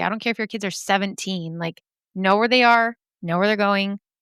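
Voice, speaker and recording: The recording is very clean, with a silent background and a dry, close sound free of echo. The intonation stays fairly even. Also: woman. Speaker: podcast host. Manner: casual, chatty.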